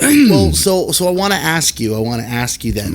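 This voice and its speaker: With lively intonation and a moderate pace, a man speaks in a plain, everyday voice. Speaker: podcast host. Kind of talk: casual interview talk.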